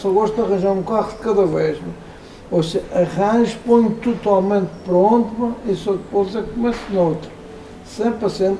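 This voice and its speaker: Against noticeable background noise, a man with a high pitch keeps his intonation fairly even. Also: moderate pace. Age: 70s. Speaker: classic car collector. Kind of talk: casual interview. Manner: halting, with repetitions and fillers.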